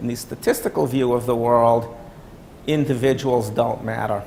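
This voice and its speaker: A man talks at a moderate pace. Audible room echo and noticeable background noise surround him. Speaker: workshop presenter. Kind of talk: lecture. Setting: workshop room with audience.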